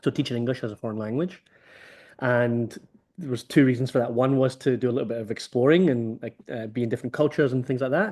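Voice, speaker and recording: Against a quiet background, a man of medium pitch talks very fast with ordinary pitch variation. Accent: Scottish. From Scotland, Motherwell near Glasgow. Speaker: rugby development organiser. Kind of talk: interview over video call.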